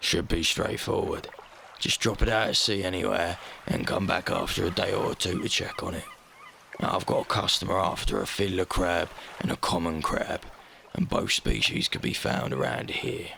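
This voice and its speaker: A raspy, put-on character voice from a man at a moderate pace, over clear background noise. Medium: solo performance. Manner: brisk, businesslike.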